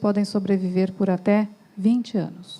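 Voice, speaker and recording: Her tone is dark and mellow. The woman's pitch is fairly high. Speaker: doctor giving a talk. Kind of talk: lecture. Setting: stage with audience.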